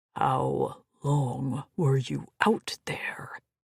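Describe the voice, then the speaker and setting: A man growls in a put-on character voice. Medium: read story. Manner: commanding, dry.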